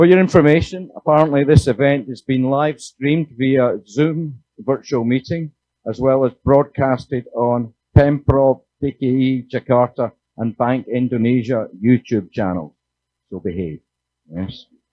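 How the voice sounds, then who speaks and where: A man with a Scottish accent, medium-pitched, with ordinary pitch variation and a fairly slow pace. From Scotland. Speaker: panel moderator. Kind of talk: panel moderation. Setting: conference stage with audience.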